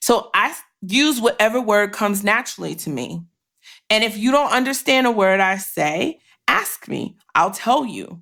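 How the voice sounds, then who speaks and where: A woman talks at a moderate pace in a fairly high, bright, sharp voice with vocal fry, an animated tone, lively intonation and big swings in loudness. The recording is very clean, with a silent background. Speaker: podcast host. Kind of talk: casual chat.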